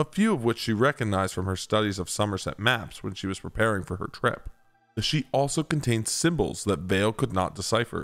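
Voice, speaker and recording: With music in the background, a man talks at a very fast pace in a fairly low pitch with ordinary pitch variation. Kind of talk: audiobook-style story reading.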